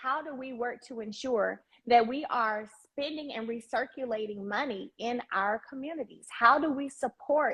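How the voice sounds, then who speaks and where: A woman with a Southern US accent and a high pitch. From Alabama. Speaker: live stream host. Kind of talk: live stream chat. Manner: animated, enthusiastic.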